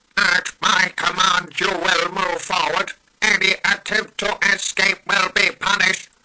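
The voice is a man's put-on character voice. He talks very slowly. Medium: voice reel. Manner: harsh, commanding, staccato.

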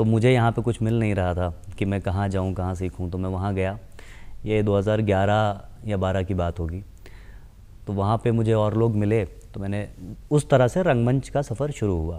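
A man's fairly low voice with a dark, mellow tone, ordinary pitch variation, a moderate pace, and long, frequent pauses. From Lucknow, Uttar Pradesh, India; Uttar Pradesh. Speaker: actor and casting director; actor. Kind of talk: TV interview. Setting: TV studio. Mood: calm, thoughtful. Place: studio. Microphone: lapel.

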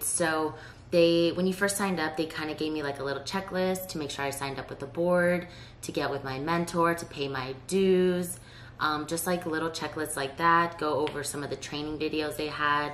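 A woman with a very deep, low pitch speaks at a fairly quick pace, her pitch varying in an ordinary way. There is light background noise along with audible room echo. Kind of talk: casual vlog chat. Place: home room.

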